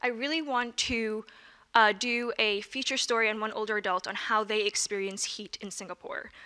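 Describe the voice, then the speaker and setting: Over a quiet background, a woman with an American accent and fairly high pitch talks at a moderate pace, her tone bright and sharp and her intonation fairly even. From New York City. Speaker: student journalist. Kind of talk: presentation. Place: meeting room. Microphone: handheld.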